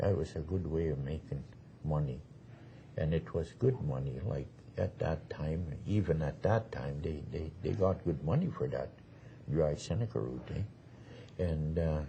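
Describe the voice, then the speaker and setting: With lively intonation and vocal fry, a man speaks at a fairly slow pace in a very deep, low voice. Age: 70s. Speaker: Métis elder. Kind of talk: oral history interview. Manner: halting.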